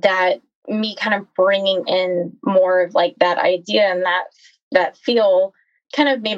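Using an ordinary speaking voice, a woman at a medium pitch speaks at a fairly slow pace with lively intonation, the sound dry and close with no echo. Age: 30s. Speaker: physician assistant. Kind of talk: personal testimony in interview.

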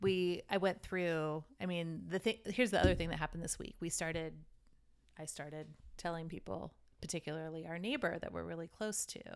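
A woman speaks at a fairly quick pace in a normal speaking voice, fairly low in pitch with ordinary pitch variation. Her loudness swings widely on a very clean recording with a silent background. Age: 40s. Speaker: podcast co-host. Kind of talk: casual chat.

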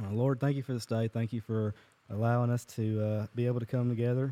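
With a Southern US accent, a man speaks at a moderate pace and medium pitch, in a monotone, flat manner. His tone is dark and mellow, and the sound is dry and close with no echo. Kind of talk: casual chat and prayer. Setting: recording in a shop with small audience.

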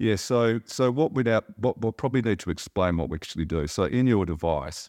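With an Australian accent and lively intonation, the speaker moves at a fairly quick pace in a dry, close sound with no echo on a very clean recording with a silent background. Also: man. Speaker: company chairman. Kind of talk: interview.

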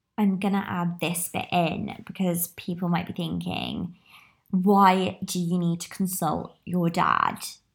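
A woman speaks very slowly with a British accent, her fairly low voice somewhat breathy and flat in a monotone. The recording is very clean, with a silent background. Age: 20s. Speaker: podcaster. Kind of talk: casual solo monologue. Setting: small room.

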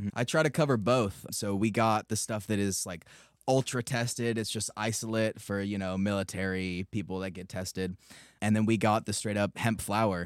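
With an American accent and a plain, everyday voice, a man speaks at a moderate pace with a fairly low pitch and fairly even intonation, on a very clean, dry, close recording with no echo and a silent background. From US West Coast, San Luis Obispo, California. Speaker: business owner. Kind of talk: casual chat.

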